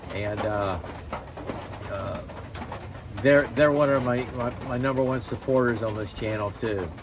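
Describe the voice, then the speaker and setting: Through noticeable background noise and audible room echo, a man at a medium pitch speaks fairly slowly with fairly even intonation. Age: 60s. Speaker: YouTuber, knife hobbyist. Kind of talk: casual vlog talk to camera. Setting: outdoor shop. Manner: rambling, hesitant with many fillers.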